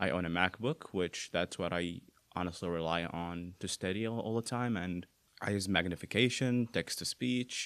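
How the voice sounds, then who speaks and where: On a very clean recording with a silent background and a dry, close sound with no echo, a man with an Arabic accent speaks at a very deep, low pitch, a moderate pace and with ordinary pitch variation. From Bahrain. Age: 20s. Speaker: university student with vision impairment. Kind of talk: casual interview. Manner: halting, many fillers.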